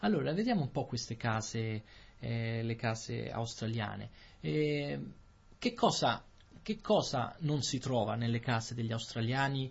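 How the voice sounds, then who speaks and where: A somewhat breathy man speaks at a very slow pace. His pitch is medium, with ordinary pitch variation. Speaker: Italian language podcast host. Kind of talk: casual conversation for language learners.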